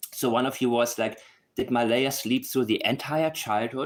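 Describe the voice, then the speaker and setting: Speaking with a non-native accent, the man holds a medium pitch. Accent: noticeable non-native. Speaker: true crime commentator. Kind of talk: casual video commentary. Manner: animated.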